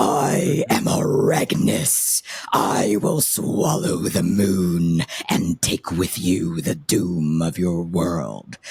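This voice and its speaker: This is a put-on character voice, gravelly in texture. It moves at a very slow pace. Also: man, very deep, low pitch for a man. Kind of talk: metal voice. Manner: menacing.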